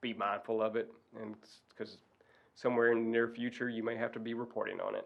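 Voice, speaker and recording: With a Southern US accent, a man talks at a fairly quick pace in a medium pitch, his intonation monotone and flat. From Arkansas. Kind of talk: presentation.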